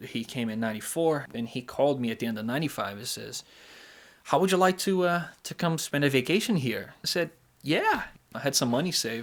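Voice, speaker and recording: A man with a Brazilian Portuguese accent speaks at a fairly high pitch. His pace is fairly quick, with ordinary pitch variation. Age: 30s. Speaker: pool technician. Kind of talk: interview answer.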